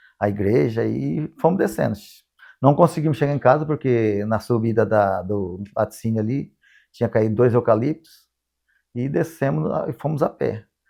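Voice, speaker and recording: Here a man speaks at a fairly low pitch with lively intonation. His pace is fairly slow. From Paraná, Brazil (Nova Londrina). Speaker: eyewitness interviewee. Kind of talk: testimony. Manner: halting.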